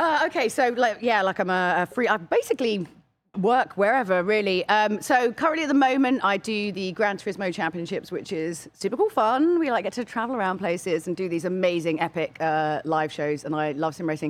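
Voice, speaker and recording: Fairly quick speech in a British accent, with hardly any pauses and very wide pitch swings. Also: woman, medium pitch for a woman. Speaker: special guest. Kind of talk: casual chat. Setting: studio.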